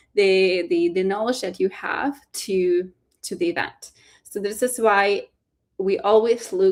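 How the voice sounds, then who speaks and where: At a fairly slow pace, a woman with a non-native accent speaks at a medium pitch with lively intonation. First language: not English. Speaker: fellowship program staff. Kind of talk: webinar info session. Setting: live online webinar. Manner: hesitant, many fillers and repeats.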